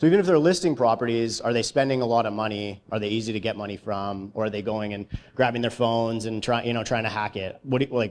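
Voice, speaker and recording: Words come at a very fast pace in a very clean recording with a silent background. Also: man. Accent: Canadian. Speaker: real estate entrepreneur and economist. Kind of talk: conference presentation. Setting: stage with audience. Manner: monotone; casual, hesitant with fillers.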